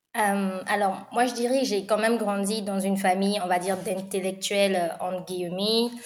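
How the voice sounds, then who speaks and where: Monotone, flat delivery with hardly any pauses and audible room echo. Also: woman, medium pitch for a woman, moderate pace. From Republic of the Congo (Brazzaville). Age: 20s. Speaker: startup studio co-founder. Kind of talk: interview.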